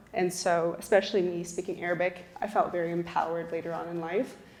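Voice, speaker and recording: A woman's fairly low, monotone voice with flat intonation, against noticeable background noise. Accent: American. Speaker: panelist. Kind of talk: panel discussion.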